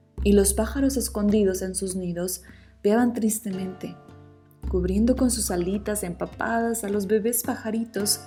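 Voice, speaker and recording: Soft-spoken delivery at a fairly slow pace with music in the background. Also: woman. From Mexico. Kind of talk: sleep story. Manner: soft-spoken, relaxing.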